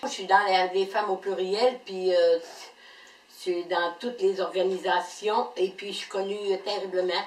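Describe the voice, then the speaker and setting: With a Quebec accent, a woman speaks at a fairly slow pace and medium pitch over noticeable background noise. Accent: rural Quebec French. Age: 70s. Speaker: game show applicant, weaver. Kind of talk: casual video application. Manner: halting, many hesitations.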